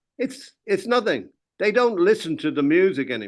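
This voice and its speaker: Over a quiet background, a man with an Irish accent speaks at a moderate pace with very wide pitch swings. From Ireland. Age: 80s+. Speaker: music industry veteran, record label founder. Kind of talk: interview. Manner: animated; halting.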